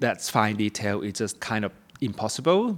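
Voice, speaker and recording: Against a silent background in a very clean recording, a man with a Thai accent speaks at a fairly slow pace. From Thailand, Bangkok. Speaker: ceramic artist. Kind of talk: interview.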